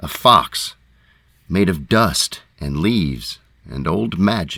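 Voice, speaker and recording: A man speaks in a very deep, low pitch with vocal fry. His pitch swings very widely. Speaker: narrator. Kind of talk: poetic fairytale narration. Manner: slow, quiet.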